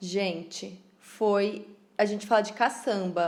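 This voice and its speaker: A dark, mellow tone at a very slow pace. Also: woman. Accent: São Paulo interior. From interior of São Paulo state, Piracicaba. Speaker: podcast co-host, craft business. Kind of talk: casual chat.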